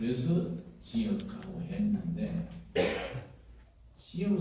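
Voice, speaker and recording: A man's high-pitched voice with lively intonation, amid audible room echo and noticeable background noise. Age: 80s+. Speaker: pastor and veteran democracy activist. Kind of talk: speech at a rally. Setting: auditorium stage with audience.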